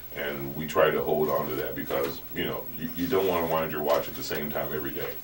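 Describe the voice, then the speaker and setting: A man talks very fast, with audible room echo and noticeable background noise around him. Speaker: soul singer. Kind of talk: casual chat.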